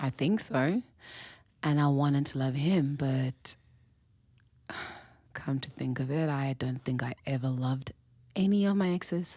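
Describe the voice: A woman uses a put-on character voice that is extremely low in pitch and dark and mellow in tone, moving at a slow pace with long, frequent pauses and ordinary pitch variation on a very clean recording with a silent background.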